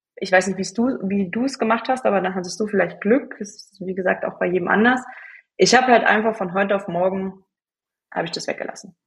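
A woman's somewhat breathy voice at medium pitch, fairly quick in pace, with fairly even intonation. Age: 20s. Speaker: hormone and cycle coach. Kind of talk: interview.

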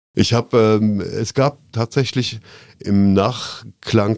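On a very clean recording with a silent background, a man speaks with fairly even intonation in a dry, close sound with no echo. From Koblenz, Germany. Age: 50s. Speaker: former bar owner, city nightlife commissioner. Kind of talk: casual interview.

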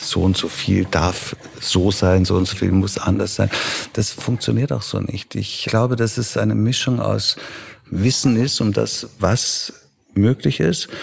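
Delivered at a fairly slow pace, the voice shows ordinary pitch variation against noticeable background noise. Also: man, fairly low pitch for a man. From Germany, then Vienna from age 13. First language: Italian (speaking German). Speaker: festival director and pianist. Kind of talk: interview.

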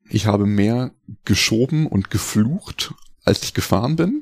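Very slow speech comes from a man at medium pitch with ordinary pitch variation. The sound is dry and close with no echo. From Lower Saxony, Germany (Hildesheim, near Hanover). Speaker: life coach and mountain bike guide. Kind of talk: interview.

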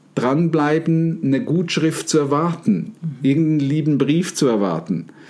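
An unremarkable speaking voice: a man, fairly high-pitched, at a fairly slow pace with ordinary pitch variation. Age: 50s. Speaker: NLP trainer and podcast host. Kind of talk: casual chat.

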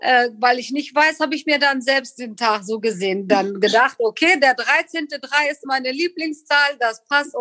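With a dry, close sound and no echo, a woman speaks slowly-ish at a fairly slow pace, her high pitch moving with lively intonation. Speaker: podcast guest, immigrant story. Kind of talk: casual interview.

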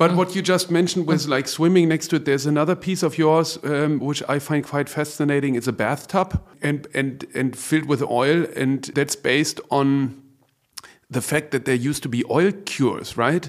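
A man with a German accent, fairly high-pitched, fairly even in intonation, at a moderate pace. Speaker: podcast host, art gallerist. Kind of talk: interview.

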